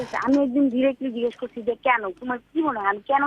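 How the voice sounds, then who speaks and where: The voice belongs to a woman. Her sound is dry and close, without any echo. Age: young. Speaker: caller. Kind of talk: phone-in personal problem account. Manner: halting.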